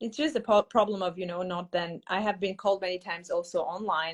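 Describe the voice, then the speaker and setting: A non-native accent at a moderate pace, with ordinary pitch variation. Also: woman. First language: not English. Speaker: English teacher. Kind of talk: casual chat. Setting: live video stream.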